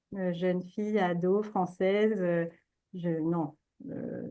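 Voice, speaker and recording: Fairly even intonation carries this speech along at a very slow pace. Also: woman. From France, childhood in China. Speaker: entrepreneur, China specialist. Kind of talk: interview conversation. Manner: halting, many fillers.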